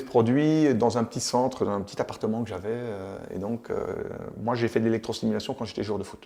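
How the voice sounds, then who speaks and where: Speaking at a fairly quick pace, a man with a medium pitch and a dark, mellow tone shows vocal fry. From Belgium, Charleroi. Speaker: entrepreneur, former footballer. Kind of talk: interview. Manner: hesitant, many fillers.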